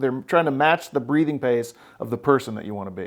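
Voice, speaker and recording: A man with an American accent talks at a fairly quick pace in a normal speaking voice, his pitch medium. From Oklahoma. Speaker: therapist and podcast host. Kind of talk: therapy session conversation.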